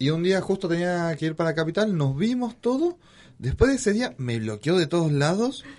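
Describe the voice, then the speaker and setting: At a moderate pace, a man speaks in a high pitch with very wide pitch swings against a quiet background. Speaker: podcast co-host. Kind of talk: casual chat.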